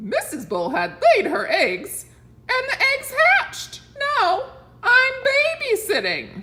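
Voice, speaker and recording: The voice is a put-on character with an extremely high, squeaky pitch. It moves at a very slow pace. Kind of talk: bedtime story. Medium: read story. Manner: cheerful, proud.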